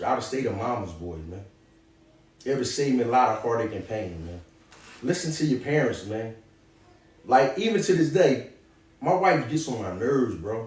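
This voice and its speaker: With audible room echo and noticeable background noise, a man speaks at a medium pitch with lively intonation. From Philadelphia, North Philly. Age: 40s. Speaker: former prisoner turned author and clothing entrepreneur. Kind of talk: motivational advice in an interview. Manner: animated.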